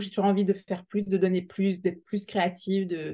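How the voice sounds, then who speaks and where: Her voice has a dark, mellow tone as a woman speaks at a medium pitch and moderate pace over a quiet background. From Alsace, France. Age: 40s. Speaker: entrepreneur, permanent makeup artist. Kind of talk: interview. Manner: halting.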